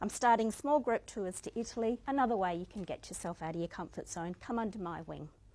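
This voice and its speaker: A woman speaks with an Australian accent and lively intonation at a fairly high pitch. The recording is very clean with a silent background. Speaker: motivational speaker. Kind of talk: inspirational speech.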